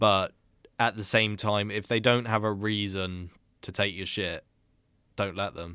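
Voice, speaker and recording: On a very clean recording with a silent background, a man in a British accent speaks at a fairly slow pace and fairly low pitch, his bright, sharp tone flat and monotone, broken by long, frequent pauses. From Britain. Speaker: podcast co-host. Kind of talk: casual chat.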